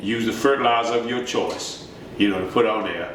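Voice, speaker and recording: A man at medium pitch with a Southern US accent at a moderate pace, amid noticeable background noise and audible room echo. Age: 60s. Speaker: farmer. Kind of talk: interview.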